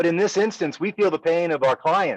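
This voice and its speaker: A man speaks loudly at a high pitch and a moderate pace. The sound is dry and close, with no echo. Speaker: business owner discussing company technology. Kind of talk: casual business discussion.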